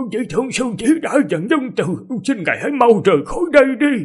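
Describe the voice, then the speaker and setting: A man puts on a shaky character voice at an extremely high pitch. He talks at a moderate pace with very wide pitch swings. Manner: fearful, pleading.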